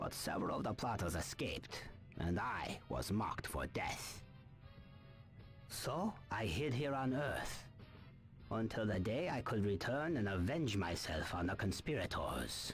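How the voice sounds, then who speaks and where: A man performs a put-on character voice at a medium pitch. He keeps a moderate pace as clear music plays in the background. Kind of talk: wise-mentor speech. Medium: video game. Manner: solemn, measured, aphoristic.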